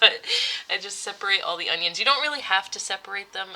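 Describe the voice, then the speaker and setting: There is noticeable background noise. The speaker is a woman. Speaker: home cook. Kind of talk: recipe voiceover tutorial. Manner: fast; casual.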